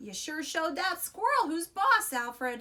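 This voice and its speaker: A woman puts on a character voice, pitched extremely high, swinging very widely in pitch at a moderate pace. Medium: read story.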